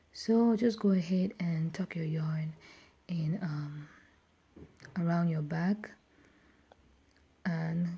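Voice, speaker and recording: Her voice dark, mellow and somewhat breathy, a woman speaks at a fairly low pitch with fairly even intonation. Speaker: beading tutorial creator. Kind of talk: tutorial.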